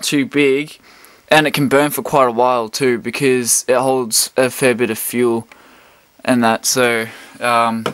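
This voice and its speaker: The speech moves at a very slow pace with ordinary pitch variation over a quiet background. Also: man. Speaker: hobbyist reviewer. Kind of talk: casual product review. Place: home room.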